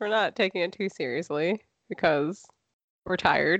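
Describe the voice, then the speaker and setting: With a dry, close sound that has no echo and a quiet background, a woman speaks at a moderate pace. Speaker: podcast co-host. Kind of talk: casual chat. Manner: subdued, low-energy.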